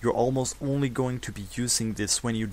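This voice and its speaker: A man speaks with a non-native accent. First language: non-native English speaker. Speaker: gamer. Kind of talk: game tutorial voice-over. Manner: casual, unprepared.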